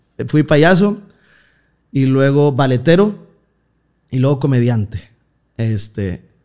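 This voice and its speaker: Dark and mellow in tone, a man's voice of medium pitch sounds over a quiet background. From Mexico, Nuevo León (Villa de Santiago, near Monterrey); Nuevo León, Mexico. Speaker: comedian. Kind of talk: casual chat. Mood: relaxed, joking storytelling. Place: studio. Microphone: studio mic.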